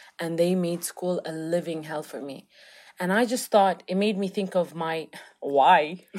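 A woman speaks at a moderate pace with ordinary pitch variation and a fairly low pitch. Hers is a plain, everyday voice. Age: 20s. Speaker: teacher and podcast co-host. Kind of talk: casual chat.

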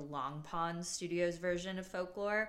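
There is audible room echo around a woman with an American accent whose pitch sits fairly low. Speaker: podcast host. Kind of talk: casual solo chat.

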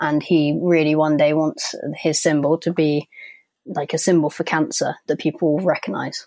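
A dark, mellow tone at a moderate pace with fairly even intonation. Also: woman, very deep, low pitch for a woman. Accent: London. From London. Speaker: author and graphic design graduate. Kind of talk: interview.

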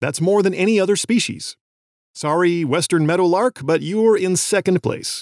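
A man with an American accent, high pitch, moderate pace, and ordinary pitch variation, in a dry, close sound with no echo. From US West Coast. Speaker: podcast host, birder and science educator. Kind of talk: scripted narration.

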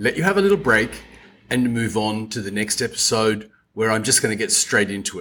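On a very clean recording with a silent background, a man speaks in an Australian accent. His pitch is medium, his intonation lively and his pace moderate. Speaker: tour operator and podcast host. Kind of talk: podcast monologue. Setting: home office. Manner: chatty.

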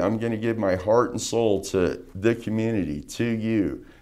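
A man speaks with an American accent. His pace is moderate and his pitch medium. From Las Vegas, Nevada. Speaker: political candidate. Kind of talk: interview. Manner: halting.

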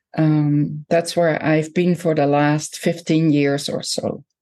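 A woman speaks with a Dutch accent in a dark, mellow tone. Her pace is fairly slow. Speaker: professor and author. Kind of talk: interview conversation.

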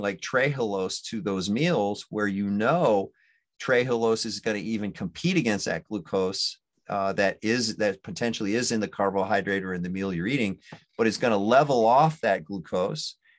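A man speaks at a moderate pace with medium pitch and ordinary pitch variation. An ordinary speaking voice, with a quiet background. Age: 60s. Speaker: physician. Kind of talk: casual chat.

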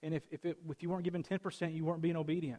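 A man's high-pitched voice at a very fast pace, in a dry, close sound with no echo. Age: 30s. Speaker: pastor. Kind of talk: sermon. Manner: casual, direct.

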